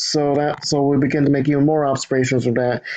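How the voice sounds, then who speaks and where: This man speaks at a moderate pace in a fairly high pitch, his intonation monotone and flat. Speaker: chemistry student. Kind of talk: educational lecture.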